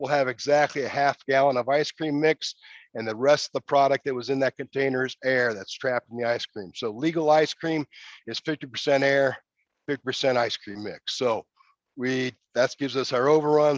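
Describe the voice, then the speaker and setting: A fairly quick pace and fairly even intonation, in a dry, close sound with no echo. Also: man. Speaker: pilot plant supervisor giving a facility tour. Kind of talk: guided facility tour. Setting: live video tour from a pilot plant. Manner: fast; casual, folksy.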